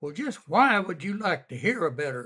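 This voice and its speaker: On a very clean recording with a silent background, a man speaks at a moderate pace in a bright, sharp tone. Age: 80s+. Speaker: elderly interviewee telling family history. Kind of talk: oral history interview. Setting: at home. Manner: folksy storytelling.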